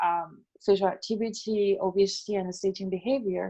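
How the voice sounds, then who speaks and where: Speaking with a non-native accent, a woman has a dark, mellow tone. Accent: non-native speaker of English. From China. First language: Chinese. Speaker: epidemiologist. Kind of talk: lecture. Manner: halting, many fillers.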